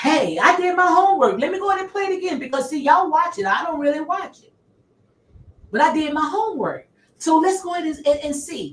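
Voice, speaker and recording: In a Southern US accent, a woman talks at a fairly quick pace with extremely high pitch, lively intonation and big swings in loudness. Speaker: online commentator. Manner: emphatic, repetitive.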